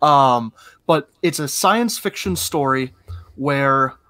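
On a very clean recording with a silent background and a dry, close sound with no echo, a man with an ordinary speaking voice talks at a fairly slow pace with ordinary pitch variation. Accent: American. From northwest Ohio. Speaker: podcast co-host. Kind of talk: casual chat.

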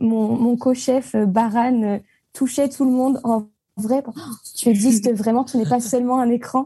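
Very slow and somewhat breathy, a woman's fairly high-pitched voice carries a dark, mellow tone and fairly even intonation. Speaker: arts management student. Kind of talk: casual chat.

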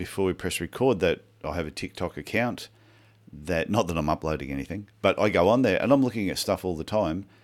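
A man with a plain, everyday voice speaks at a fairly quick pace and fairly low pitch. His intonation is lively, and the recording is very clean with a silent background. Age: 50s. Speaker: podcast co-host, podiatrist. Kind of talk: casual chat.

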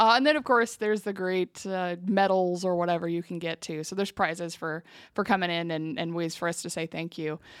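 A woman with an ordinary speaking voice talks at a moderate pace and medium pitch with ordinary pitch variation, in a very clean recording with a silent background and a dry, close sound with no echo. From eastern Washington, US. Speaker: utility public information officer. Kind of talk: interview. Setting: office.

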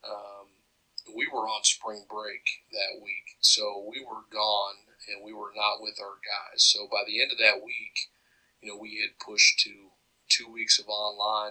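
Loudness swings widely as a man speaks at a fairly slow pace. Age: 30s. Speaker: college football head coach. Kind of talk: interview.

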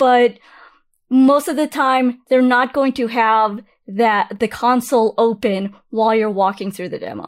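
A fairly high-pitched woman at a fairly slow pace, with ordinary pitch variation, on a very clean recording with a silent background. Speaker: cloud economist. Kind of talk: interview. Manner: energetic.

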